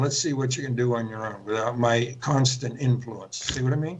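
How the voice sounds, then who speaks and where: Moderately paced speech from a man with an American accent, audible room echo around it. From central Pennsylvania. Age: 80s+. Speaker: author and spiritual teacher. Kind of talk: interview. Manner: halting.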